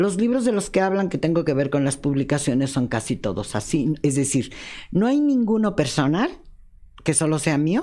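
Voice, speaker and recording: Very deep and low for a woman, her dark, mellow voice makes very wide pitch swings on a very clean recording with a silent background. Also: moderate pace, very even loudness. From Mexico City. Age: 70s. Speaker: journalist. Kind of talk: interview.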